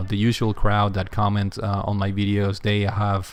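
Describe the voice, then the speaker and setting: Here a man with a non-native accent speaks at a moderate pace. His pitch is fairly low. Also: very clean recording, silent background. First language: not English. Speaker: gaming youtuber. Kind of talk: casual video monologue. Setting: sitting in front of camera. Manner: halting, many fillers.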